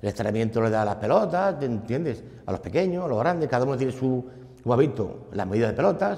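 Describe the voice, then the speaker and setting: A man speaks at a fairly quick pace in a medium pitch, his dark, mellow tone moving through very wide pitch swings. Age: 60s. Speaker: football club volunteer. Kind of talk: interview. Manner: halting.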